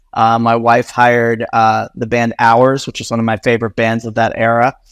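A man speaks in a plain, everyday voice at medium pitch and a moderate pace, recorded with a dry, close sound, no echo, and a quiet background. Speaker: communications executive at influencer marketing firm. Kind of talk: casual interview chat.

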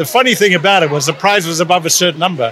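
Over crowd noise in the background, a man talks very fast in a high voice with lively intonation. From South Africa. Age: 60s. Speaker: retired accountant. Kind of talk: interview.

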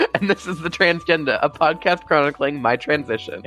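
A man's hoarse, put-on character voice, fairly high and fairly quick, over clear background noise

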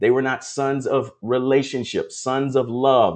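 Against a quiet background, a man with a plain, everyday voice talks at a moderate pace and a medium pitch. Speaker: prophetic ministry preacher. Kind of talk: devotional sermon with prayer. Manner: fervent, exhorting, call-and-response.

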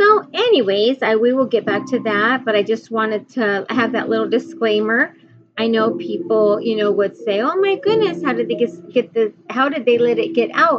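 Barely pausing, a woman keeps a moderate pace while noticeable background noise goes on around her. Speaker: podcast host and author, former caregiver. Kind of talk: casual monologue. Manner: halting, with many fillers.

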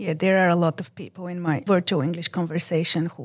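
On a very clean recording with a silent background, a woman with a Bulgarian accent speaks at a fairly quick pace in a fairly low pitch with ordinary pitch variation. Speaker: librarian, conversation group facilitator. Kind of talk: interview podcast.

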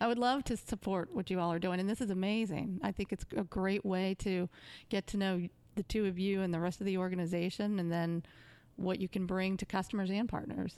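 On a very clean recording with a silent background, a woman with an ordinary speaking voice and a medium pitch talks at a fairly quick pace with fairly even intonation and very even loudness, the sound dry and close with no echo. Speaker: sales executive. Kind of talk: casual interview chat.

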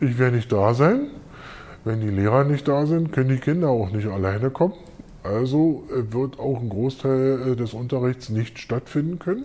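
A man talks at a moderate pace, his pitch medium. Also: ordinary pitch variation. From West Berlin, Neukölln. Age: 50s. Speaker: school caretaker and works council member. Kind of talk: interview. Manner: hesitant, many fillers.

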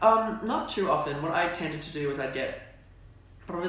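With an Australian accent, a man talks at a moderate pace and with ordinary pitch variation. Noticeable background noise and audible room echo fill the recording. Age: young. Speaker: drama student. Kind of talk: casual interview.

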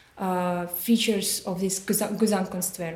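A woman talks with fairly even intonation. Noticeable background noise sits behind her. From Belarus. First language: Belarusian or Russian. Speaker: art history student. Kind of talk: casual interview conversation. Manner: halting, many hesitations.

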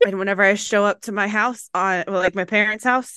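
A woman with an American accent speaks at a moderate pace in a bright, sharp tone. The background is quiet. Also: dry, close sound with no echo. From US South. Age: 30s. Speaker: podcast host. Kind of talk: casual chat. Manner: animated.

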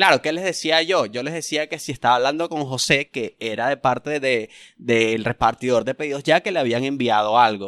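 A man speaks at a fairly quick pace with a Venezuelan accent, at a medium pitch and with ordinary pitch variation, hardly pausing. The sound is dry and close with no echo, on a very clean recording with a silent background. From Venezuela, Punto Fijo, Falcón state. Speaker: stand-up comedian. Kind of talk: casual chat.

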